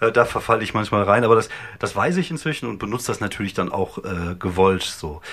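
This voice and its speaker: Noticeable background noise sits behind the talking. A man delivers it with lively intonation. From Germany, Wuppertal (North Rhine-Westphalia). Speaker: stand-up comedian and podcaster. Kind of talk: casual chat. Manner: hesitant, many fillers.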